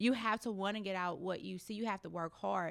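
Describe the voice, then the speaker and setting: A woman's unremarkable speaking voice at a medium pitch and moderate pace, with fairly even intonation, on a very clean recording with a silent background. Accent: American. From US Midwest, St. Louis inner city. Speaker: car salesperson. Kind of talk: casual chat.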